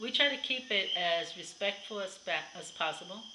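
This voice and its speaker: The background noise here is noticeable. A woman talks at a moderate speed. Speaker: vlogger. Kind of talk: casual vlog chat. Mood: warm, occasionally laughing. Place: home room. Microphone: webcam.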